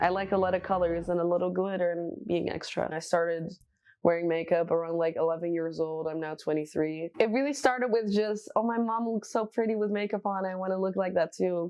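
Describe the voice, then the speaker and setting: The pitch variation here is ordinary. The clip features a normal speaking voice. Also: woman, medium pitch for a woman, fairly quick pace. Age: 20s. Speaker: bartender and drag artist. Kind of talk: documentary interview.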